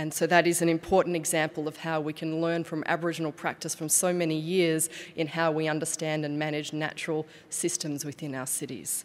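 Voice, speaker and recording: Flat, monotone intonation runs at a fairly quick pace in an Australian accent. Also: woman, very deep, low pitch for a woman. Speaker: city official; conference speaker. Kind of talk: conference presentation. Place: hall. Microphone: podium.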